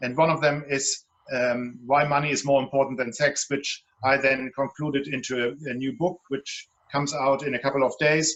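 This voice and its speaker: In a German accent, a man with a fairly high pitch talks with fairly even intonation. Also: moderate pace. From Germany, Hamburg. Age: 50s. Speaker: relationship guide and author. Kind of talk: panel discussion.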